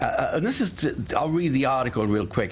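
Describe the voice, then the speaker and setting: The voice belongs to a man. Background noise is noticeable. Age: 70s. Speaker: talk show host. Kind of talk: casual chat. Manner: halting.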